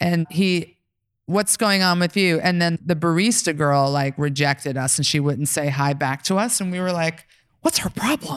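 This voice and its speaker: In a very clean recording with a silent background, a woman with an American accent and an ordinary speaking voice talks at a moderate pace, her fairly low pitch showing ordinary variation. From New York. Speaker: podcast host and legal operations lead. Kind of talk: live panel moderation. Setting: stage with audience.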